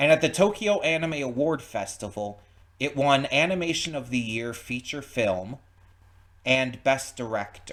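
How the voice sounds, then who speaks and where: A normal speaking voice from a man, fairly high in pitch, with lively intonation and a fairly slow pace. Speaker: reaction video host. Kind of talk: casual reaction commentary.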